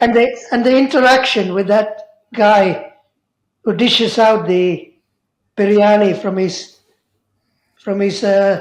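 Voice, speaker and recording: Speaking at a very slow pace with long, frequent pauses, a woman has a medium pitch and ordinary pitch variation, and audible room echo surrounds her voice. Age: 70s. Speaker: memoir subject. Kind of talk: interview.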